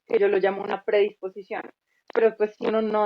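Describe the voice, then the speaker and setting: Very fast and at a medium pitch, a woman speaks. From Colombia. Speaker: music teacher and content creator. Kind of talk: casual interview.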